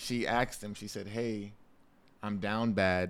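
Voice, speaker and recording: Fairly low in pitch, a man speaks in a flat monotone. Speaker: podcast guest. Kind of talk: casual chat. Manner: soft-spoken.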